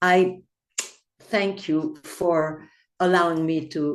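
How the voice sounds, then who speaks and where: Against a quiet background, a woman speaks with a Belgian accent. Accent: Belgian Flemish accent in English. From Belgium (Flanders). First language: Flemish. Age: 80s+. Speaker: poet. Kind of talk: poetry reading.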